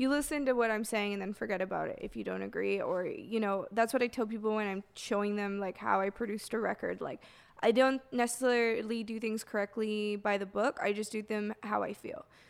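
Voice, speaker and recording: Using a normal speaking voice, a woman with fairly high pitch talks at a fairly quick pace with hardly any pauses and fairly even intonation. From Canada, Toronto. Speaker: music producer and DJ. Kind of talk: casual interview chat. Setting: studio.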